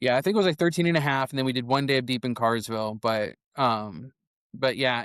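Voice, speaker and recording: Here a man speaks at a medium pitch and a fairly quick pace. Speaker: filmmaker. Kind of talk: casual chat. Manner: animated.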